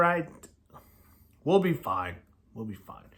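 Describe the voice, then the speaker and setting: Projecting in a raised voice, a man speaks with a bright, sharp tone and lively intonation. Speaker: sports YouTuber making football predictions. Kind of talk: solo prediction commentary.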